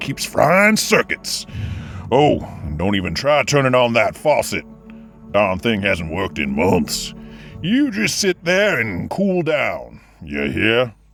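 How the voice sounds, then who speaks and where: Putting on a character voice, a man talks at a fairly slow pace and medium pitch with very wide pitch swings, as faint music plays in the background. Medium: audio drama. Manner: drawling, sarcastic.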